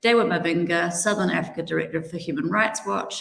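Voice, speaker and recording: A woman with a strong New Zealand accent speaks at a fairly quick pace and fairly low pitch. Her pitch varies in an ordinary way, and audible room echo surrounds her voice. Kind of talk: panel introduction.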